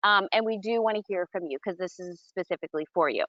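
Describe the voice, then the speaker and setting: The woman's speech carries lively intonation. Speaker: nurse health coach. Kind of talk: casual chat. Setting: outdoors. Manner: fast.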